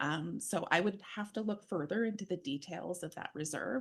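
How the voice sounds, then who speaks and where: A woman talks at a moderate pace with lively intonation. Hers is an ordinary speaking voice. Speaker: municipal finance staff. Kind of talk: council meeting.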